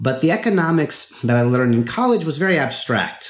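With a General American accent, a man talks at a fairly quick pace. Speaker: online course instructor and author. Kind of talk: casual interview. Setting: video call. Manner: halting, repeats words.

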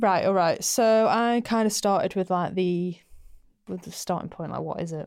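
In a Mancunian accent, a woman speaks at medium pitch and a moderate pace with ordinary pitch variation. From Manchester, England. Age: 20s. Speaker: skincare podcast co-host. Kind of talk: casual explainer chat. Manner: animated.

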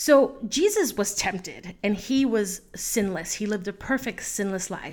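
A woman with a plain, everyday voice at a fairly high pitch talks at a fairly slow pace on a very clean recording with a silent background. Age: 30s. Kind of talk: solo faith talk.

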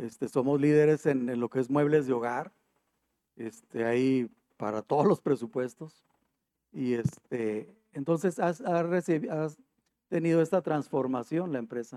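Ordinary pitch variation runs through the speech. The delivery is fairly slow. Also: man. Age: 50s. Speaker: HR manager. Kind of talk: interview.

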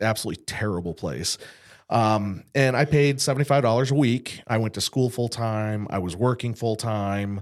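At a moderate pace, a man speaks in an ordinary speaking voice with a medium pitch and ordinary pitch variation. The recording is very clean, with a silent background. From western Massachusetts. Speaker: insurance agency owner, combat veteran. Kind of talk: interview conversation.

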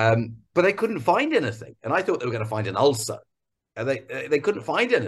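Somewhat breathy, the voice moves through very wide pitch swings. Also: man, medium pitch for a man. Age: 50s. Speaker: entrepreneur. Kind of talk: interview. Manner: halting.

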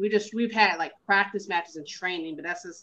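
A woman speaks at a fairly quick pace with a Southern US accent. Her pitch sits in the medium range with ordinary variation. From US South, Carolinas. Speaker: professional wrestler. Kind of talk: casual interview.

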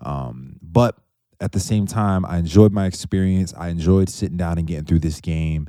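A man with an American accent speaks at a moderate pace in a very deep, low pitch and a dark, mellow tone. The recording is very clean, with a silent background. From New York, outside the city. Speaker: gaming podcast host. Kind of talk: casual chat.

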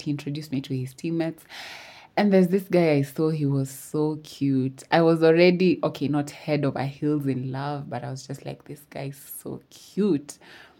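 This woman's voice has a dark, mellow tone and a very deep, low pitch. The recording is very clean, with a silent background. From Kenya, Eldoret. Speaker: podcast host. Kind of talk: storytelling. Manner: casual, laughing.

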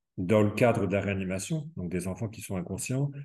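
The man's voice is somewhat breathy. It sits at a fairly low pitch. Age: 30s. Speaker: home care nurse. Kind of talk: interview. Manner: halting.

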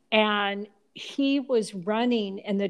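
A woman with a plain, everyday voice speaks at a medium pitch with ordinary pitch variation on a very clean recording with a silent background. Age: 60s. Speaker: mother. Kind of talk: casual chat.

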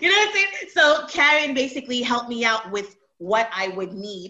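A woman speaks with lively intonation at a moderate pace. Noticeable background noise runs underneath. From Montreal, Canada. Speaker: website creator and t-shirt designer. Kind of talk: casual interview.

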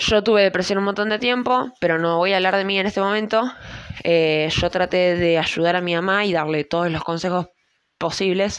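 With a Rioplatense accent, a woman speaks at a moderate pace and medium pitch, her intonation fairly even. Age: 20s. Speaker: podcaster. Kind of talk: personal monologue. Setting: at home at night.

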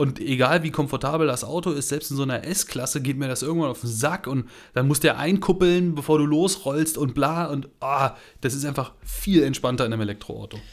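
A man with an unremarkable speaking voice talks at a fairly quick pace and fairly high pitch, with ordinary pitch variation, in a very clean recording with a silent background. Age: 30s. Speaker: car podcast co-host. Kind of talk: casual chat.

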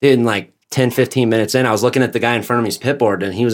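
Speaking at a very fast pace with an American accent, a man keeps a medium pitch on a very clean recording with a silent background. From Nevada. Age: 30s. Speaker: freestyle motocross rider. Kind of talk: casual chat.

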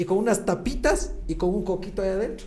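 Talking at a very fast pace, a man with a high pitch is heard with audible room echo. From Ecuador, Latacunga. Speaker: gynecologist and clinic owner. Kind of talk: podcast interview.

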